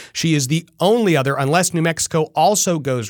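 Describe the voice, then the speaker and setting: On a very clean recording with a silent background and a dry, close sound with no echo, a man with an American accent talks fairly quickly in an ordinary speaking voice with ordinary pitch variation. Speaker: political podcast host. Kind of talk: interview podcast.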